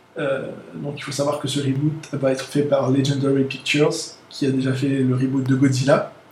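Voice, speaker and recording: A man speaks at a fairly high pitch and a moderate pace, his intonation monotone and flat. Audible room echo and noticeable background noise are present. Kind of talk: casual chat.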